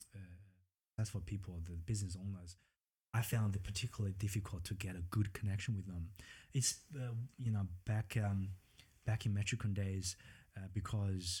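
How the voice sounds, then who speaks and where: A man with a strong Chinese accent speaks at a fairly low pitch in a dark, mellow, somewhat breathy tone. His intonation is fairly even, broken by long, frequent pauses. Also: moderate pace. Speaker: property businessman. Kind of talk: interview. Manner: halting.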